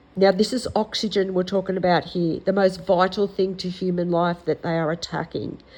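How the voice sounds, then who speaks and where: This woman has an Australian accent and a medium pitch. She talks at a moderate pace with hardly any pauses and a monotone, flat intonation. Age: 60s. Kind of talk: casual talk to camera.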